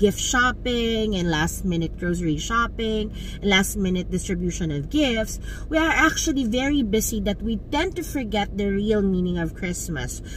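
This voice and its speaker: Over light background noise, a woman speaks at a moderate pace, the sound dry with no echo. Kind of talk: casual vlog chat. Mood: warm, reflective. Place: car. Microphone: phone near.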